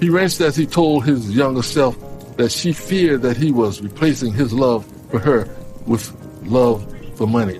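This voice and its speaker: Over music in the background, a man with a medium pitch and lively intonation speaks at a moderate pace with very even loudness. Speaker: radio host. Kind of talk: story narration. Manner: casual, humorous asides.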